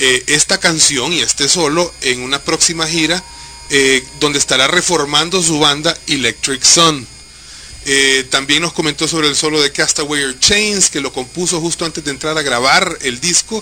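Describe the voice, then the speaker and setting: Over noticeable background noise, a man talks at a fairly quick pace and fairly high pitch with fairly even intonation. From Honduras. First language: Spanish. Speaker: radio co-host interviewer. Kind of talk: live radio interview.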